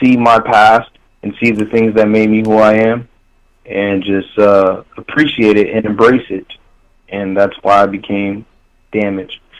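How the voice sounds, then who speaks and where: Speaking fairly slowly, a man with a fairly low pitch keeps a monotone, flat intonation. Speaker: rapper. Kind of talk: interview. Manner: casual, filler-heavy.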